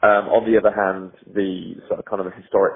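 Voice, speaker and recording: The speaker has a North West England accent. The pace is fairly quick. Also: man. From Cheshire, England. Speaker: racing driver. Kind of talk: interview answer.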